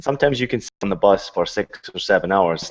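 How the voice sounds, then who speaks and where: Speaking at a fairly quick pace with a Scottish accent, a man uses a fairly low pitch and ordinary pitch variation over a quiet background. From Scotland. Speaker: retired footballer and play-by-play commentator. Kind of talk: casual chat.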